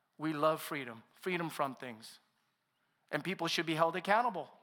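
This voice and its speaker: A man's raised, projected voice, bright and sharp, at a fairly quick pace. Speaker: pastor. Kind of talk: sermon. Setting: stage with audience.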